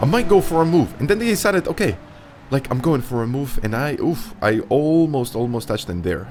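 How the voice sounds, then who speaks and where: Speaking very fast with a non-native accent, a man has a fairly high voice with an animated tone and very wide pitch swings. Noticeable background noise is present. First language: not English. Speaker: sim racing YouTuber. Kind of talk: race commentary narration.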